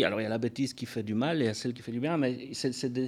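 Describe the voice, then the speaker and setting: A man talks with a Belgian accent. His pitch is medium. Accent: Belgian French, noticeable. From Belgium. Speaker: film director. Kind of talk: interview. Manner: hesitant, many fillers and repetitions.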